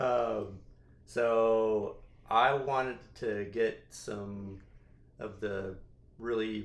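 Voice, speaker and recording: Fairly low man's voice in a west Texas accent, monotone and flat in intonation, with audible room echo. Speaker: podcast host. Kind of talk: casual chat.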